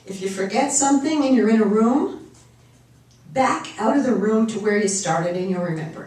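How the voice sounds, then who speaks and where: Her intonation is lively and her pitch fairly high as this woman talks at a moderate pace. Background noise is noticeable. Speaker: motivational speaker. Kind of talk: talk to live audience.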